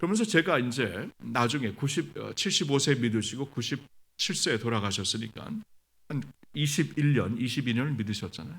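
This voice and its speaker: Lively intonation and vocal fry mark a man's medium-pitched voice at a moderate pace. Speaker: pastor. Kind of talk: sermon. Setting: church revival service.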